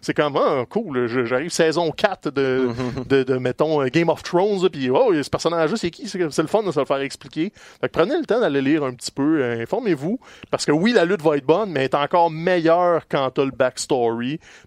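Spoken with a Quebec accent, the voice has lively intonation and a fairly quick pace. The sound is dry and close, with no echo. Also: man, fairly high pitch for a man. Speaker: wrestling podcast co-host. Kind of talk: casual chat.

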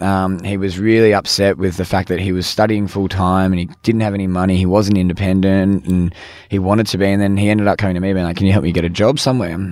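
Talking at a very fast pace with hardly any pauses, a man with an Australian accent keeps his very deep, low voice in a monotone, flat intonation. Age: 20s. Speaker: business founder. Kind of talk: interview. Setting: podcast van.

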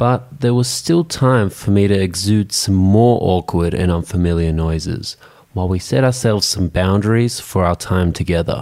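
A man's fairly low voice with an Australian accent, dark and mellow in tone, very even in loudness, with hardly any pauses. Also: ordinary pitch variation, moderate pace. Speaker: podcast host. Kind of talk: scripted narration.

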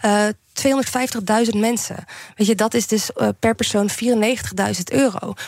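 Fairly slow delivery with ordinary pitch variation. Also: woman. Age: 30s. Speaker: general practitioner and street doctor. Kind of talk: radio interview. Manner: hesitant, with many fillers.

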